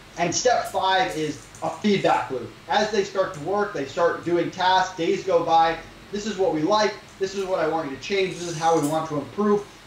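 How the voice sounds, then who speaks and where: A man's high pitch with ordinary pitch variation, audible room echo, and noticeable background noise. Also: moderate pace. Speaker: e-commerce entrepreneur. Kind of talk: interview. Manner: direct.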